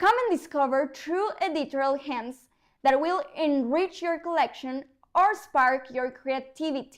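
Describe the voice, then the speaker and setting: A woman with a Mexican accent, high pitch and ordinary pitch variation, at a fairly slow pace, in a very clean recording with a silent background. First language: Spanish. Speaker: news presenter. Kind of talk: news reading.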